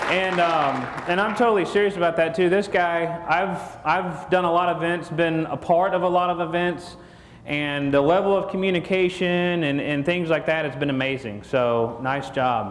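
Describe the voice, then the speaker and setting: A loud voice with a Texan accent at a moderate pace, ordinary pitch variation, noticeable background noise and audible room echo. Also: man, high pitch for a man. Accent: Texan Southern. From Texas. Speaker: marketing speaker. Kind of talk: conference talk. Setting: stage with audience. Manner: casual, joking.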